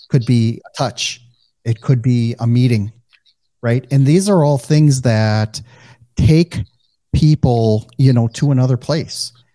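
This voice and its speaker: This man speaks very slowly in a slight Midwestern US accent at a medium pitch, with long, frequent pauses and a dry, close sound with no echo. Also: ordinary pitch variation. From US Midwest. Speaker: podcast host. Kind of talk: interview, casual conversation.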